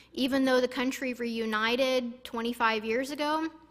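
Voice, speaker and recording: A woman with an American accent speaks fairly slowly at a high pitch, with ordinary pitch variation. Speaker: missionary. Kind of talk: church presentation.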